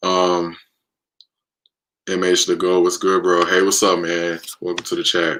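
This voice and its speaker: A man talks fairly slowly with long, frequent pauses, in a very deep, low voice and an American accent. His tone is bright and sharp, but his intonation stays monotone and flat. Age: 20s. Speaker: livestreamer. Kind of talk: casual chat. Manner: halting.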